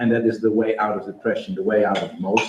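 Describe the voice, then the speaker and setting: With a Dutch accent, a man at medium pitch speaks with lively intonation against noticeable background noise. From Netherlands. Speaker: startup founder. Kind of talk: pitch presentation. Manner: hesitant, many fillers.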